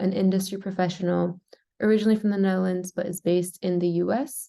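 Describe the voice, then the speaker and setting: Her tone is dark and mellow, a woman speaking with an American accent. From US, California. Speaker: program manager. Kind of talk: webinar presentation. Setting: video call from office.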